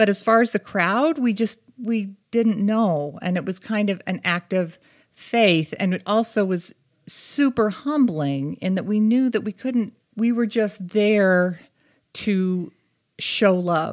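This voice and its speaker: Very slowly, a woman with an American accent speaks with ordinary pitch variation in a very clean recording with a silent background. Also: medium pitch for a woman. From US Northeast, Boston area. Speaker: English teacher and advocacy co-founder. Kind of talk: casual chat.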